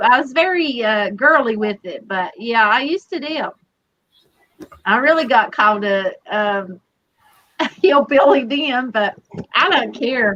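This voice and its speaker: Very wide pitch swings and a bright, sharp tone in a Southern US accent, at a fairly slow pace. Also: woman. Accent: Southern drawl. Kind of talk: casual chat.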